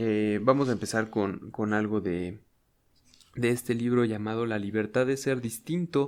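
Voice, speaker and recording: A man's voice sits at a medium pitch, moving fairly slowly with ordinary pitch variation. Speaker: ASMR youtuber. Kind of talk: casual intro before reading aloud. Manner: normal speaking voice, not whispered; hesitant, with many fillers.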